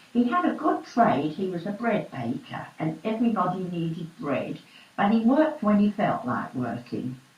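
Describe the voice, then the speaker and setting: Audible room echo and noticeable background noise surround a woman speaking at a moderate pace. Her medium-pitched voice has very wide pitch swings. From East London. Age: 80s+. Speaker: oral history interviewee. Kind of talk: oral history interview.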